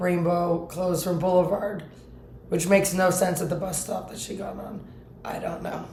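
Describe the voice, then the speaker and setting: Speaking at a moderate pace with monotone, flat intonation, a woman with a fairly low voice has big swings in loudness, amid audible room echo and noticeable background noise. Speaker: vlogger. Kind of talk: casual monologue vlog.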